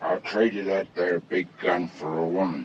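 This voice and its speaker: A man in a put-on character voice speaks at a moderate pace, his very deep, low pitch raspy and his intonation fairly even. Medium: short film. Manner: dry, sardonic.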